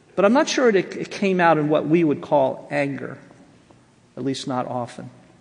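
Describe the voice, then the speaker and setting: Audible room echo surrounds a man with an American accent who speaks fairly slowly at a fairly high pitch. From US Northeast, Jersey Shore, New Jersey. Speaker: professor of biblical counseling. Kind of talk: seminar lecture.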